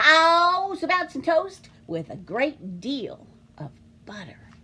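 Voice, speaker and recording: A put-on character voice moves at a very slow pace. It has very wide pitch swings and big swings in loudness. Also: woman, extremely high pitch for a woman. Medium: read story.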